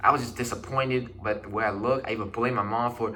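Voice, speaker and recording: At a fairly quick pace, a man talks with medium pitch and fairly even intonation, against noticeable background noise and audible room echo. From China. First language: Chinese. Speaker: vlogger. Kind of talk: personal vlog monologue. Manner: casual, halting with restarts.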